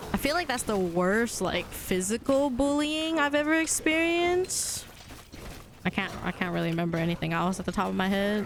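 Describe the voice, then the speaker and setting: There is noticeable background noise behind a woman talking at a medium pitch. She keeps a moderate pace with very wide pitch swings. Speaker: video game streamer. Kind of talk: casual chat. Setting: live stream. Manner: sounds aggressive.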